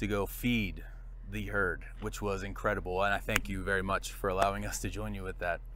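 Moderately paced speech from a man, dry with no echo, with noticeable background noise. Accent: American. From southeastern Pennsylvania. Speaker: travel podcast host. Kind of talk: interview. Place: farm machine.

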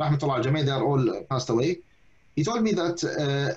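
A man with an Arabic accent speaks at a fairly high pitch. His voice is somewhat breathy, with ordinary pitch variation. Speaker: imam and researcher. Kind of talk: lecture. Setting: video call. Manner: halting.

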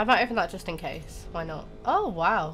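Music plays behind a woman who talks at a fairly slow pace. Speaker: gaming YouTuber. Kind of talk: casual gameplay commentary.

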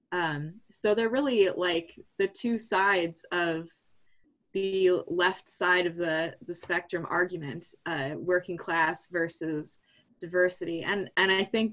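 At a fairly slow pace, a woman at medium pitch speaks in an ordinary speaking voice with fairly even intonation. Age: 20s. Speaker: political party member. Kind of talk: meeting discussion. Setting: video call.

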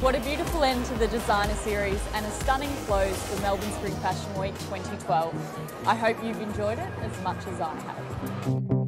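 Over loud music in the background, a woman speaks at a moderate pace. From Australia. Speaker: TV presenter. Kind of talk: TV presenting to camera. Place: street. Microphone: lapel.

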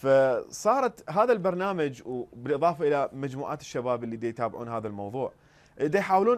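At a fairly quick pace, a man talks with a fairly high pitch. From Iraq. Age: young. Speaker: political satire YouTuber; satirical show host as guest. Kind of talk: interview. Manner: halting, many fillers.

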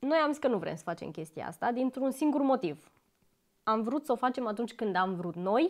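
A woman speaks in a high voice with very wide pitch swings against a quiet background. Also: moderate pace. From Romania. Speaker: YouTuber. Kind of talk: casual chat. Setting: home, on a couch. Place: home room. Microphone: lapel.

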